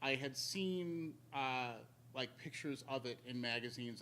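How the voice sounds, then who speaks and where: Noticeable background noise behind a male speaker with an American accent. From Chicago, US Midwest. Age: 40s. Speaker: fighting game community organizer. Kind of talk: interview. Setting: live stream. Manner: halting, many fillers.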